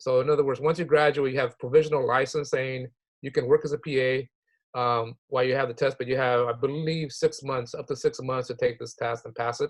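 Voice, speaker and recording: A man talks at a fairly quick pace in a monotone, flat way. His voice is somewhat breathy. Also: medium pitch for a man. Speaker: health professions advisor. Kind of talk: online workshop presentation. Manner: fast.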